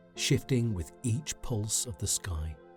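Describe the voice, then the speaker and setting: A man at a very slow pace with lively intonation, music in the background. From UK. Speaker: sleep story narrator. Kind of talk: sleep story. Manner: calm, soothing.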